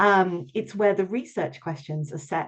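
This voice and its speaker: A woman with a British accent. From London, England. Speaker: researcher and mentor giving a talk. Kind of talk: online presentation. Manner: hesitant, many filler ums.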